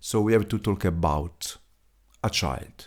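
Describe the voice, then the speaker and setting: On a very clean recording with a silent background, a man talks in an Italian accent. His pitch is fairly low, with ordinary variation. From Italy. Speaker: podcaster. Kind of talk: solo podcast monologue. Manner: halting, many fillers.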